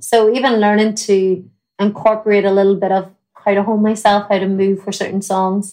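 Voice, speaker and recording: Dark and mellow in tone, a woman speaks with an Irish accent at a moderate pace. Her intonation stays monotone and flat. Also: medium pitch for a woman. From Ireland. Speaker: country singer. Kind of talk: interview chat.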